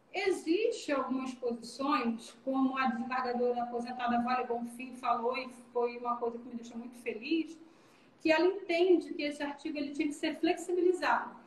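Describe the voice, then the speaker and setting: A woman speaks at a moderate pace in a high pitch, with ordinary pitch variation, big swings in loudness and audible room echo. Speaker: business executive in accounting and labor law. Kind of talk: live stream Q&A, explanatory. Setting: video call live stream. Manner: animated.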